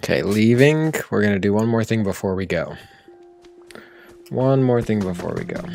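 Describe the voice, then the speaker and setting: Music plays in the background as a man speaks at a moderate pace and medium pitch with lively intonation, leaving long, frequent pauses. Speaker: gaming streamer. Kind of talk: live gameplay commentary. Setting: live stream.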